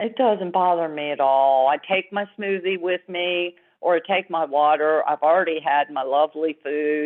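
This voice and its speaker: A woman in a normal speaking voice, fairly low in pitch, with ordinary pitch variation and a moderate pace. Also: hardly any pauses. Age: 60s. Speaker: client sharing healing story. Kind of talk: testimony.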